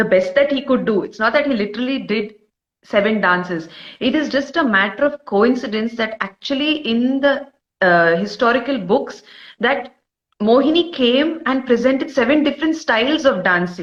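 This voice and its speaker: With a Karnataka accent, a woman talks at a moderate pace in a high pitch, her intonation lively. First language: Kodava. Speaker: dancer and researcher. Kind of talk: interview.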